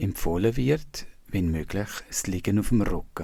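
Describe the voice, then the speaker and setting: Very slowly and calmly, a man speaks with a Swiss German accent at a fairly low pitch, his dark, mellow tone somewhat breathy and his intonation lively. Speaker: meditation teacher. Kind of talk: guided body scan meditation. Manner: slow, calm, soft-spoken.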